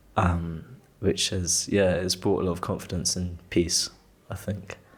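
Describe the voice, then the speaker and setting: This man has a very deep, low voice and a British accent. His intonation is monotone and flat. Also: fairly slow pace. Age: 20s. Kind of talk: casual chat. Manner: loud; halting.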